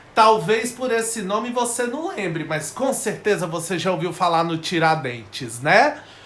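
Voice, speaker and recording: Over noticeable background noise and audible room echo, a man talks at a fairly slow pace with hardly any pauses, his high voice animated and swinging very widely in pitch. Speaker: history teacher. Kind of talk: online lesson (live class). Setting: live stream.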